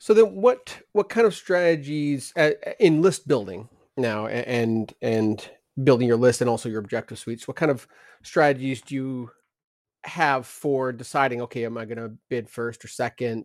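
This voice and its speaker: A man's ordinary speaking voice at a medium pitch and moderate pace, with ordinary pitch variation and big swings in loudness. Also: very clean recording, silent background. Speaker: podcast co-host. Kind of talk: casual podcast chat.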